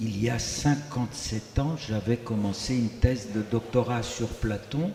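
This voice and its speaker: A man with a Greek accent speaks at a very slow pace, his intonation fairly even. Noticeable noise sits in the background. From Greece. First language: Greek (speaking French). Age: 80s+. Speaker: liturgical music composer. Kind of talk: self-introduction on a panel.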